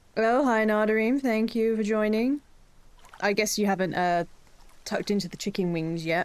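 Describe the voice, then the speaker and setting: A woman talks at a moderate pace with an English accent, leaving long, frequent pauses. Her pitch is fairly high and varies an ordinary amount. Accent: English, drops T's. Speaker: streamer. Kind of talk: casual chat.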